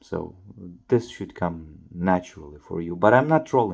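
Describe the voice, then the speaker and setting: The background is quiet. A man talks with a very deep, low pitch. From Ukraine. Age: 20s. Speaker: YouTuber. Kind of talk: casual monologue to camera. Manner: halting, many fillers.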